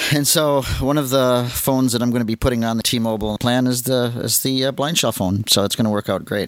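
With a normal speaking voice at medium pitch, a man talks at a fairly quick pace, his intonation fairly even, his loudness very even and his pauses hardly there. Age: 60s. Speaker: podcast host and assistive technology trainer. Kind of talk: casual chat.

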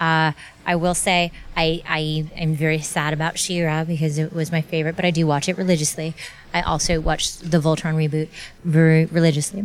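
A woman speaks at a fairly quick pace and a fairly low pitch, in monotone, flat intonation. Her loudness stays very even over noticeable background noise. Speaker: voice actor and ADR director. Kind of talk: interview. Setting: convention.

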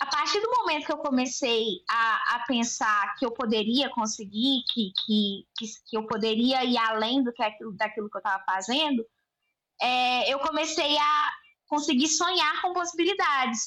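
A woman with a high pitch raises and projects her voice in a bright, sharp tone. She talks at a fairly slow pace with lively intonation. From Brazil, Belo Horizonte (Minas Gerais). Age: 20s. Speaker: journalist and business owner. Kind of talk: casual interview chat.

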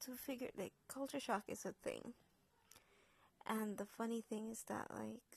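In a Jamaican accent, the speaker talks at a fairly slow pace with long, frequent pauses. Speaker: podcaster. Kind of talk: personal storytelling. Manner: hesitant, many fillers.

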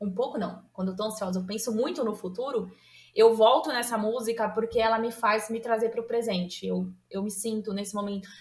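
Fairly high pitch for a woman, with fairly even intonation and a fairly quick pace. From São Paulo state, Brazil. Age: 30s. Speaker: nutritionist, podcast listener guest. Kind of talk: casual chat.

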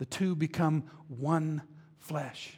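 A man with a fairly high pitch and a somewhat breathy voice. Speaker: pastor. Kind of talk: sermon. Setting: stage with audience. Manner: animated.

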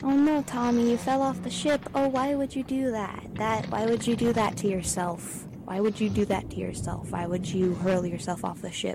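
The speech runs at a moderate pace with lively intonation and hardly any pauses, over noticeable background noise. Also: woman, fairly high pitch for a woman. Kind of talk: sarcastic college radio DJ patter, bantering on air between songs. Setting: studio.

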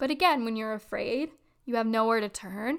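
Recorded very cleanly against a silent background, a woman speaks at a moderate pace in a fairly high voice with ordinary pitch variation. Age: 20s. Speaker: spiritual podcast host. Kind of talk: personal storytelling monologue.

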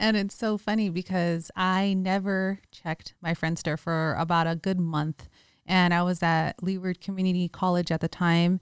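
A woman's fairly low voice, monotone and flat, with a dry, close sound and no echo. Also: moderate pace. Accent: American. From San Francisco Bay Area, California. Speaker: podcast co-host, investor. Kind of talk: casual chat. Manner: laughs often.

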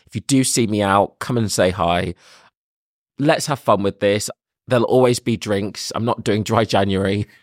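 A man with a London accent speaks at a fairly low pitch with ordinary pitch variation. The recording is very clean, with a silent background. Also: moderate pace, dry, close sound with no echo. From London, England. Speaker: podcast host. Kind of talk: casual monologue introduction.

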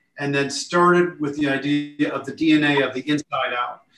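A man speaks in a monotone with flat intonation. His pitch sits fairly high. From Lake Forest, Illinois. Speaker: architect. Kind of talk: podcast interview.

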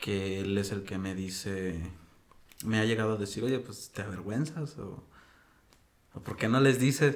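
Speaking at a fairly slow pace with long, frequent pauses, a man with a fairly low pitch and ordinary pitch variation is heard amid audible room echo. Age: 30s. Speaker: interview guest. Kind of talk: casual conversation.

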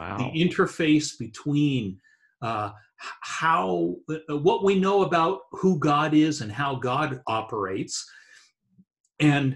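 A man's fairly high voice sounds somewhat breathy. His intonation is lively. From Eastern Canada, New Brunswick. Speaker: theology professor. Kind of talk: casual interview.

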